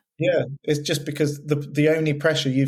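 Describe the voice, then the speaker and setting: Speaking at a moderate pace with a West Country accent, a man has a fairly high, somewhat breathy voice. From West Country, England. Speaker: wedding photographer. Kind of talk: casual chat. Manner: monotone; halting, with false starts and repetitions.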